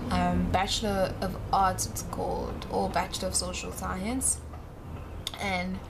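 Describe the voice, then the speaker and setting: Speaking at a fairly slow pace, a woman is heard over noticeable background noise, with audible room echo. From South Africa, Johannesburg. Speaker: vlogger. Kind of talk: casual vlog monologue. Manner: rambling, hesitant with fillers.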